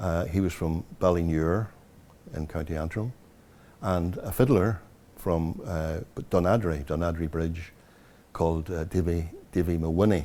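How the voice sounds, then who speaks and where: A man with a Northern Irish accent speaks at a moderate pace in a very deep, low pitch, his dark, mellow tone held in fairly even intonation with long, frequent pauses. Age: 70s. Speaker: traditional music historian. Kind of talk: interview reminiscence. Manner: halting.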